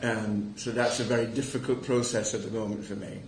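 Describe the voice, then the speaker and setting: A man talks at a moderate pace while noticeable background noise and audible room echo surround him. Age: 60s. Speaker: prostate cancer charity volunteer speaker. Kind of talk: testimony.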